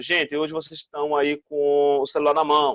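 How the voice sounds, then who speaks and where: A man's voice in a dry, close sound with no echo. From Brazil, Northeast. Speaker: school teacher. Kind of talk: recorded online lesson. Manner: fast; animated.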